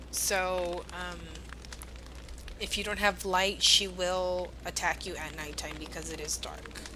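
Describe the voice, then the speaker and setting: A woman speaks at a very slow pace, her loudness swinging widely. Audible room echo surrounds her voice. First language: Spanish. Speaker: video game streamer. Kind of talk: live game streaming commentary. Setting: live stream with chat.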